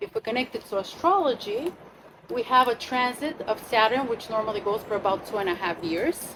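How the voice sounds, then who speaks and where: A woman's fairly high voice carries lively intonation at a moderate pace, with noticeable background noise behind her. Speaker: astrologer leading a retreat workshop. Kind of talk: workshop talk to a group.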